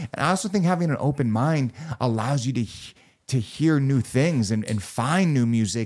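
Lively intonation in an unremarkable speaking voice, captured on a very clean recording against a silent background. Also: man. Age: 30s. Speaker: podcast host. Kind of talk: casual chat.

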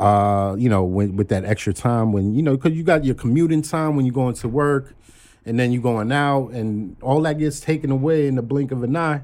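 A man speaks at a moderate pace with a medium pitch and ordinary pitch variation, in an unremarkable speaking voice. The recording is very clean, with a silent background. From Brooklyn, New York (Flatbush). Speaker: executive recruiter and stock-trading enthusiast. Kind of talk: casual chat. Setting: studio.

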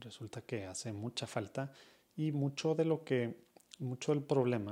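A man talks at a very slow pace in a dark, mellow tone. His pitch is medium, with ordinary pitch variation. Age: 30s. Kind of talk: casual monologue.

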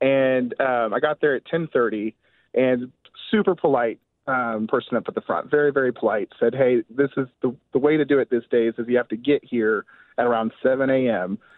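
Speaking with an American accent, this is an unremarkable speaking voice at a moderate pace. Pitch variation is ordinary. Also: man, medium pitch for a man. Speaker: caller. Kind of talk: call-in to radio show. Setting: phone call.

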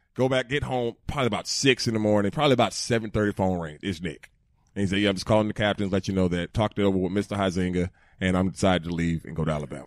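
A man's animated, fairly low voice with a Southern US accent at a very fast pace, in a very clean, silent recording with a dry, close sound and no echo. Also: ordinary pitch variation. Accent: Southern US (Georgia). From Georgia, US South. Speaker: former NFL player. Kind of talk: casual chat. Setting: studio.

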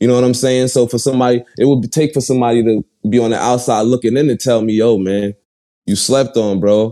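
In a Brooklyn accent, a man speaks at a fairly quick pace with a medium pitch and a dark, mellow tone. His intonation is fairly even and his loudness stays very even. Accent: New York (Brooklyn). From Brooklyn, New York (Bed-Stuy). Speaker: rapper. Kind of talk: casual interview.

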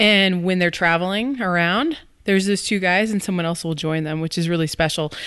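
A plain, everyday voice with ordinary pitch variation comes through over a quiet background. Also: woman. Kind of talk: casual chat.

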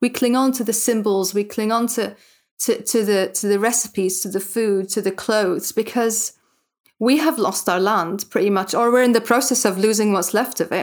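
With a Palestinian accent, a woman talks at a moderate pace in a fairly high voice. Her pitch variation is ordinary, and the recording is very clean with a silent background. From Gaza Strip, Palestine. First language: Arabic. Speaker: writer and translator. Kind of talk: interview. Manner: halting, many restarts and fillers.

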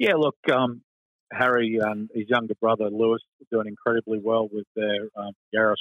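Speaking with an Australian accent, a man talks at a fairly low pitch and a moderate pace. His intonation is monotone and flat. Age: 50s. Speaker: motorsport club president. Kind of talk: radio interview.

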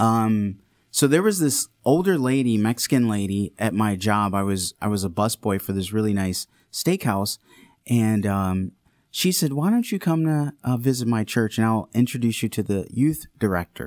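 In a very clean recording with a silent background and a dry, close sound with no echo, an unremarkable speaking voice moves at a moderate pace with lively intonation. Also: man, medium pitch for a man. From Detroit area, Michigan. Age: 30s. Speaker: deacon and future priest. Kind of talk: casual interview with personal testimony.

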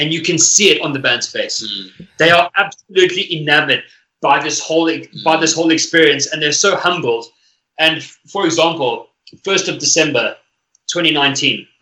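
At a moderate pace, a man with a fairly high pitch and a bright, sharp tone speaks with ordinary pitch variation. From South Africa. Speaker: musician. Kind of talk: casual chat.

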